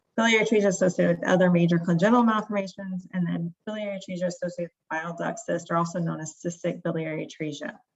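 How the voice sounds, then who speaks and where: Speaking at a very fast pace, this woman has a fairly low pitch. Her voice is somewhat breathy. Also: ordinary pitch variation, hardly any pauses. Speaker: pediatric liver doctor. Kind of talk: lecture.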